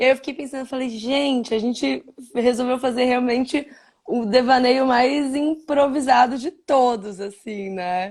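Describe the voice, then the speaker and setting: With ordinary pitch variation and a fairly high pitch, a woman talks at a fairly slow pace. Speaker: live stream interviewer. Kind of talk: casual interview chat. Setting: live video stream.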